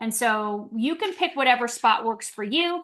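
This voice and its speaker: A woman's high-pitched voice with lively intonation over a quiet background. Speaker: wellness presenter. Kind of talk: product presentation. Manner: fast; animated.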